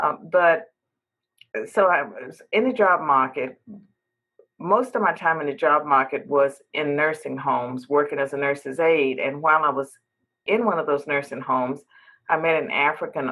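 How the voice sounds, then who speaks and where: Moderate pace, ordinary pitch variation and an American accent. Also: woman, very deep, low pitch for a woman. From US South, southwestern Virginia. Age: 60s. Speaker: professor and podcast host. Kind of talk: interview. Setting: podcast interview.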